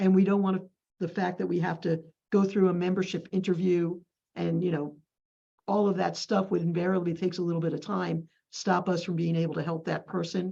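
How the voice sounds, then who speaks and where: Fairly quick and monotone, with flat intonation, a woman talks in a fairly low pitch and a dark, mellow tone. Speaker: community village staff member. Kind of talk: group meeting discussion. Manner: fast.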